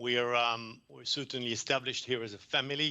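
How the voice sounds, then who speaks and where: Speaking with a French accent, a man keeps a monotone, flat intonation. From France. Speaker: environmental consultant presenter. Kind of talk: conference presentation. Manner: hesitant, many fillers.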